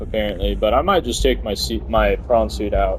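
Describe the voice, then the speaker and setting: Background noise is noticeable here. Through it, a man talks. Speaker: gaming video creator. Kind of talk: let's play commentary. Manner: casual and chatty; stumbling over words.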